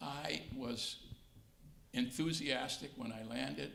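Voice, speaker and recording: A man speaks with audible room echo. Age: 70s. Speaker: retired judge. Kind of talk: interview.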